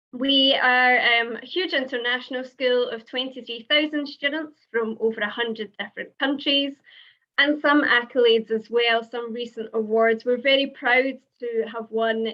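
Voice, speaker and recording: Speaking in a Scottish accent, a woman uses a high pitch and fairly even intonation at a moderate pace. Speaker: university international officer. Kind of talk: presentation.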